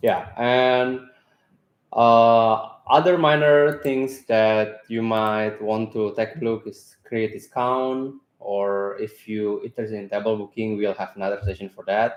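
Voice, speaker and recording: This man's medium-pitched voice shows ordinary pitch variation as he goes at a fairly slow pace. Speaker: software company staff giving product webinar. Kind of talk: tutorial. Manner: hesitant, many fillers.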